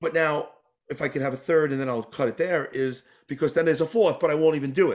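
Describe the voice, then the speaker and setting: Delivered in an American accent, the speech races along very quickly, its pitch rising and falling in an ordinary way. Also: man, fairly high pitch for a man. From New York. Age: 40s. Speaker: tap dancer. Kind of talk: interview.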